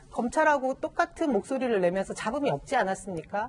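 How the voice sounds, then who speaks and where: A woman's voice with very wide pitch swings. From South Korea. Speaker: party spokesperson. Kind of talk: news panel discussion. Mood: earnest, defending the minister. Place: studio. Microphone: lapel.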